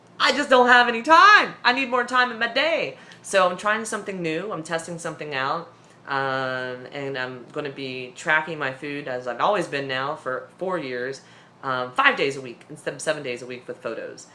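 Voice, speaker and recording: A woman with a very deep, low voice talks at a moderate pace, her pitch swinging very widely and her loudness shifting a lot, with noticeable background noise and audible room echo. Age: 30s. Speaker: weight-loss surgery vlogger. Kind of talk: casual vlog update.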